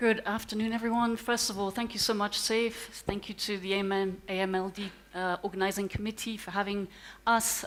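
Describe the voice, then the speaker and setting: The speaker is a woman. She talks at a very fast pace. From France and England (half French, half English). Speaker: conference speaker, company representative. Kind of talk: conference talk. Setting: stage with live audience. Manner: hesitant, many fillers.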